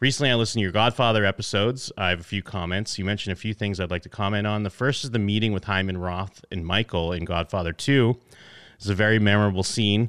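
A man rattles along very fast in a fairly low voice. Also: fairly even intonation. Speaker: podcast host. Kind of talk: casual chat.

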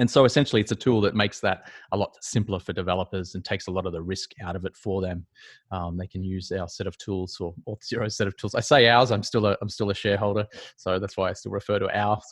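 A man with an Australian accent, very fast pace, fairly low pitch and fairly even intonation, dry, close sound with no echo over a quiet background. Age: 40s. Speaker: startup advisor. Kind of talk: interview. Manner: halting, many fillers.

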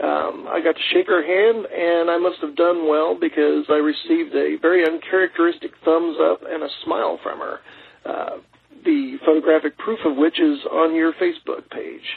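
Noticeable background noise fills the recording. Against it, a man talks at a moderate pace. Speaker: podcast listener sending a voice message. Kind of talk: recorded listener voice message. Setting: pre-recorded message played on the show. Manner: halting, many filler words.

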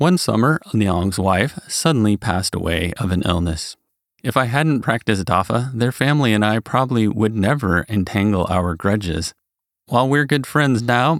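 Here is a man with a plain, everyday voice, fairly low in pitch, speaking at a moderate pace with lively intonation. The sound is dry and close with no echo, on a very clean recording with a silent background. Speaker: narrator reading practitioner's article. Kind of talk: reading aloud a written article.

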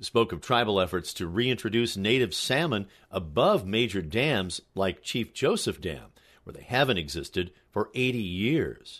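This man has an unremarkable speaking voice, fairly low in pitch, with lively intonation at a fairly slow pace. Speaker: radio news reporter. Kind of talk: scripted radio news report. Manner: even, measured, formal.

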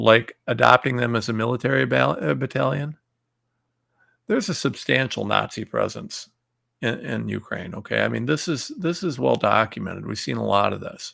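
The voice has vocal fry. Its tone is fairly bright. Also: man, medium pitch for a man, ordinary pitch variation, moderate pace.

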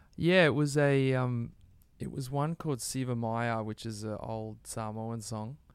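With an Australian accent, a man talks at a fairly slow pace and a medium pitch, using ordinary pitch variation. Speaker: musician. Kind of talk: interview. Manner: laid-back.

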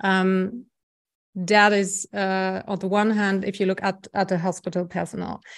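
A woman with a German accent speaks at a medium pitch and a fairly slow pace. Her intonation is flat and monotone, and the background is quiet. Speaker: health economics professor. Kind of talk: interview.

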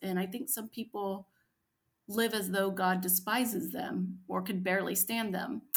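With an American accent, a woman talks in a normal speaking voice at medium pitch, keeping a moderate pace and ordinary pitch variation. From US. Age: 40s. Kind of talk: interview conversation.

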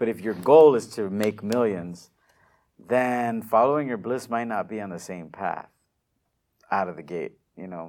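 A man with an American accent speaks at a moderate pace with ordinary pitch variation. His loudness swings widely, and he takes long, frequent pauses. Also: fairly low pitch for a man. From US-Mexico border region. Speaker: digital marketing entrepreneur. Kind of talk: interview.

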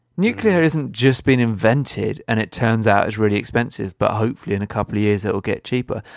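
Speaking in a British accent at a very fast pace, the voice has hardly any pauses and ordinary pitch variation. The recording is very clean with a silent background and a dry, close sound with no echo. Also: man, medium pitch for a man. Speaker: environmental podcast co-host. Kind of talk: casual chat.

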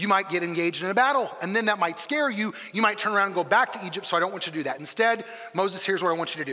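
Ordinary pitch variation in a text read aloud in a natural voice

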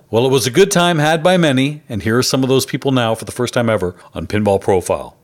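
A man with a strong Canadian accent speaks at a very fast pace. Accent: thick Canadian. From Canada. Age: 50s. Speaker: podcast host. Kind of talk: podcast narration with event interviews. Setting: live pinball events in bars.

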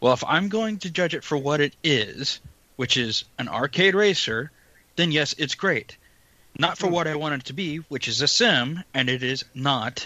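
With lively intonation, an unremarkable speaking voice moves along at a moderate pace. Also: man, fairly high pitch for a man. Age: 30s. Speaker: sim racing podcast co-host. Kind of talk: casual chat.

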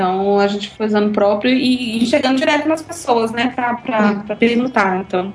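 Ordinary pitch variation shapes a woman's fairly high voice as she speaks at a moderate pace amid noticeable background noise. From Bahia, Brazil (Eunápolis). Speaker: comics blogger. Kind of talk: casual interview.

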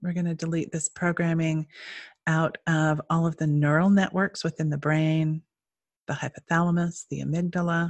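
Somewhat breathy and with an American accent, the speaker keeps a fairly even intonation at a moderate pace, with a dry, close sound with no echo and a quiet background. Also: woman. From Utah. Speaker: energy healer. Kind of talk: guided meditation. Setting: video call.

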